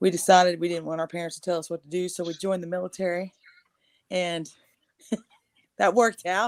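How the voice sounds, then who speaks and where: With a Texan accent, a woman speaks very fast at a fairly low pitch in a monotone, flat intonation, her loudness swinging widely between long, frequent pauses, all in a dry, close sound with no echo. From East Texas. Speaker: army veteran and singer-songwriter. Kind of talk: casual interview chat.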